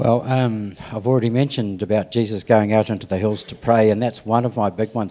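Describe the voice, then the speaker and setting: A man with a Southland New Zealand accent, dark and mellow in tone, fairly low in pitch, fairly quick and fairly even in intonation. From New Zealand, Southland. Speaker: retired mechanic. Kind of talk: testimony. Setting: church.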